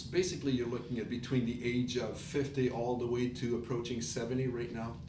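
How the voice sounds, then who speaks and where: Speech comes at a moderate pace with audible room echo and noticeable background noise. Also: man. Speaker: online business presenter. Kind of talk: casual presentation.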